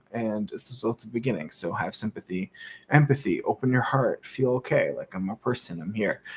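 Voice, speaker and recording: A man in a calm, relaxed tone, somewhat breathy, at a fairly quick pace, with lively intonation and big swings in loudness. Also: medium pitch for a man, dry, close sound with no echo. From Canada, Toronto. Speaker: YouTuber. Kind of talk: casual vlog monologue. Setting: at home.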